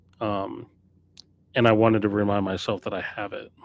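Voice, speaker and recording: At a moderate pace, a man speaks at a fairly low pitch. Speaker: record store owner streamer. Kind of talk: live stream casual talk. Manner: rambling, self-correcting.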